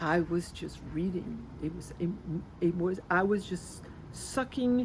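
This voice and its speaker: A woman's fairly low voice at a fairly slow pace. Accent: French. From France. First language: French. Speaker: spiritual healer. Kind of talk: interview. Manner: halting.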